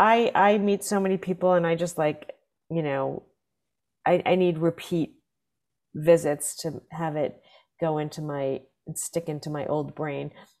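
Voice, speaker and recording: In an American accent, a woman with a fairly low pitch and ordinary pitch variation speaks with long, frequent pauses on a very clean recording with a silent background. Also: fairly slow pace. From New Jersey. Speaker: comedian and comedy club booker. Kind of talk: casual interview chat.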